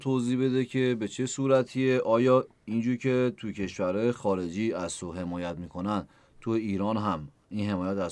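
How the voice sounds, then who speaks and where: Over a quiet background, a man talks at a moderate pace in an ordinary speaking voice. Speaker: podcast host. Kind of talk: interview.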